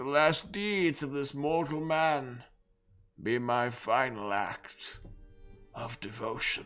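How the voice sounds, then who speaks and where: A man of medium pitch in a put-on character voice, fairly slow with long, frequent pauses, lively intonation and big swings in loudness, faint music in the background. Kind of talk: dramatic letter reading. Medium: game stream. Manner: solemn, fervent, devotional.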